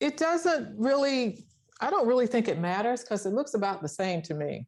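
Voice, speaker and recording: A woman speaks at a moderate pace in a high voice. Her pitch swings very widely. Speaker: sewing instructor. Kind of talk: tutorial. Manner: halting.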